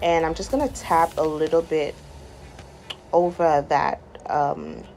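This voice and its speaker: With music in the background, a woman speaks in an enthusiastic tone with a Guyanese accent. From Guyana. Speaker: makeup artist. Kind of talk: makeup tutorial voiceover. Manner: casual, enthusiastic.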